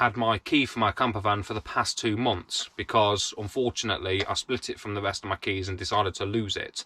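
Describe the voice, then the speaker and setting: A British accent at a moderate pace, bright and sharp in tone with fairly even intonation, dry and close with no echo. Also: man. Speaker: vlogger. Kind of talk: casual chat. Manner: sounds angry.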